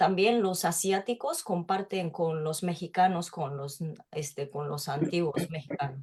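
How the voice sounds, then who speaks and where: The speaker talks at a fairly slow pace and sounds somewhat breathy. The pitch varies in an ordinary way. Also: woman, fairly low pitch for a woman. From Japan, Tokyo. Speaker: literature researcher. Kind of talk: interview. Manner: halting.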